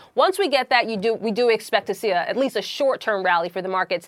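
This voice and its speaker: A woman talks at a very fast pace with ordinary pitch variation, and music plays in the background. The sound is dry and close, with no echo. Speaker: business correspondent. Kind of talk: live report.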